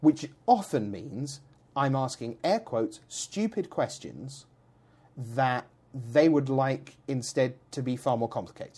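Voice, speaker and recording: Very slow and somewhat breathy, this voice with a British accent has lively intonation on a very clean recording with a silent background. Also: man, medium pitch for a man. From Britain. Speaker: esports commentator and statistician. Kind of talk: podcast interview. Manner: animated.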